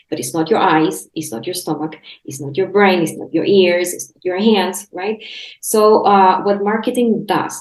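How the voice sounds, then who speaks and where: A medium-pitched woman's voice with a Spanish accent, lively intonation and a moderate pace. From Chile. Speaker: health coach and podcast host. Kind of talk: casual interview chat. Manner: halting, many restarts.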